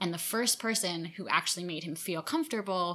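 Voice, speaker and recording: Recorded very cleanly against a silent background, a woman with an American accent speaks at a fairly quick pace with a bright, sharp tone, a fairly low pitch and ordinary pitch variation. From New York suburbs. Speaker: tea company founder. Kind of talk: casual interview.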